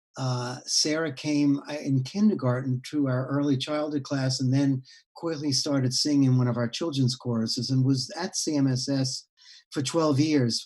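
A man with an American accent speaks fairly slowly at a medium pitch with fairly even intonation. His voice is somewhat breathy, with a dark, mellow tone. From New York City (Bronx). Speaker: founder of a community music school. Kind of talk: interview. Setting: video call.

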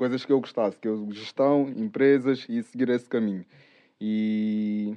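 Medium in pitch, a man speaks at a fairly slow pace. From Angola, raised in Portugal from age 4. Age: 20s. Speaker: entrepreneur, burger restaurant owner. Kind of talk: casual interview. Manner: animated.

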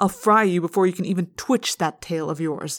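A woman's raspy, put-on character voice at medium pitch and moderate pace, on a very clean recording with a silent background. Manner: sneering.

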